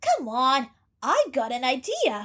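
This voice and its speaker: A female-sounding voice puts on a character voice pitched high for a woman. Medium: fan dub. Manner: cheerful, casual.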